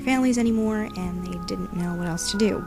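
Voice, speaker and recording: Over music in the background, a woman speaks at a very fast pace. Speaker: student. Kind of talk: book trailer narration, first-person story.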